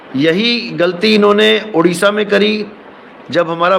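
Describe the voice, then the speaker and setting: Over noticeable background noise, a man talks at a high pitch. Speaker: spiritual preacher. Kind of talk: casual talk to viewers.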